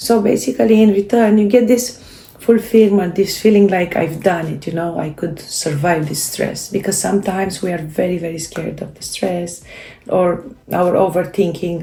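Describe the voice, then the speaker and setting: A woman with a Romanian accent speaks at a moderate pace and medium pitch, with ordinary pitch variation, big swings in loudness and noticeable background noise. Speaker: self-help video creator. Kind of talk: casual talk to camera. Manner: halting, many fillers.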